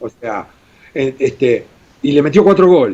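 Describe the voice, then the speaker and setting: A man with a fairly high pitch and a dark, mellow tone speaks at a moderate pace with vocal fry. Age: 60s. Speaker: former goalkeeper, journalist and radio host. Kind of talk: interview. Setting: video call. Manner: animated.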